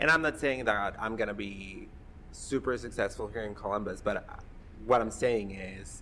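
This man, with a Spanish accent, speaks at a moderate pace in a medium pitch with ordinary pitch variation and a bright, sharp tone. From Mexico. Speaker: podcast host, LGBTQ organization worker. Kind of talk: casual chat, podcast conversation.

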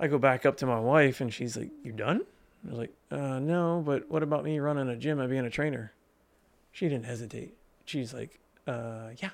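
A man with an American accent talks at a medium pitch in a plain, everyday voice. His pitch varies in an ordinary way, and the recording is very clean with a silent background. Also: moderate pace. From Pennsylvania, Lebanon County. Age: 40s. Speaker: personal trainer and gym owner. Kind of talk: casual interview. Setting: studio.

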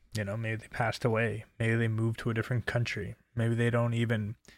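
Here a man speaks at a medium pitch. His intonation is monotone and flat. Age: 20s. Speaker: solo podcaster. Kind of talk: casual monologue. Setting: home bedroom. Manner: hesitant with many fillers.

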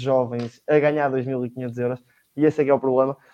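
Speaking at a fairly quick pace, this is a plain, everyday voice. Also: man. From Portugal, Leiria. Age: young. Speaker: economics student, panelist. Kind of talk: political discussion. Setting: online livestream.

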